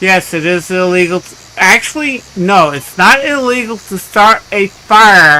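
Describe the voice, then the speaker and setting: A man at a high pitch in a raised, projected voice, at a very slow pace, with noticeable background noise. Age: 60s. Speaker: gaming live streamer. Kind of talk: casual live stream chat.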